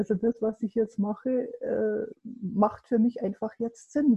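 A woman's voice, fairly high and somewhat breathy, shows ordinary variation in pitch. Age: 50s. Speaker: coach and adult education lecturer. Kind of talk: interview.

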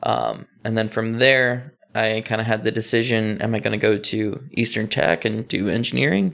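Speaking at a moderate pace with an American accent, a man has a medium-pitched voice with vocal fry. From Dundalk, Maryland (Baltimore area). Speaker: artist and art professor. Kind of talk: casual interview.

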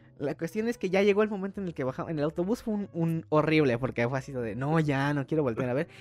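Very fast, animated speech with lively intonation and hardly any pauses. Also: man, fairly high pitch for a man. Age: 20s. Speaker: podcast host. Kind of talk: casual chat.

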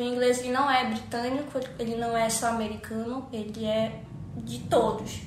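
A woman speaks at a moderate pace with a Pará accent and a high pitch. Noticeable background noise and audible room echo surround her voice. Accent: Paraense, from Cametá. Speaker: English and Spanish teacher. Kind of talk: casual chat. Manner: halting.

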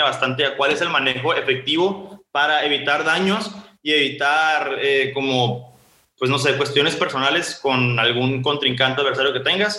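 Heard with audible room echo, a man talks at a fairly high pitch with ordinary pitch variation. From Mexico, Sonora (Ciudad Obregón). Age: 20s. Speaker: law student and social entrepreneur. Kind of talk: interview. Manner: casual, filler-heavy.

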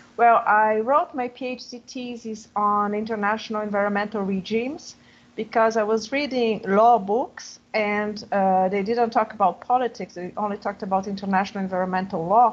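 A woman with a Portuguese accent speaks at a moderate pace. Her pitch is fairly high and her intonation fairly even. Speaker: professor of international relations. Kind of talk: panel discussion.

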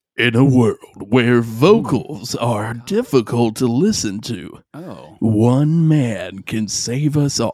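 A man does a put-on character voice at medium pitch. He speaks at a very slow pace. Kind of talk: movie trailer announcer. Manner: dramatic.

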